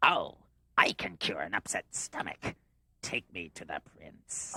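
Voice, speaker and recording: A cartoonish character voice at a fairly slow pace. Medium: puppet show. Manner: sly, drawling.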